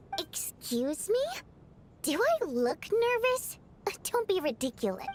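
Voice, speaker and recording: Over clear background noise, a woman does a put-on character voice at an extremely high pitch, swinging very widely up and down at a fairly slow pace. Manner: defensive, indignant.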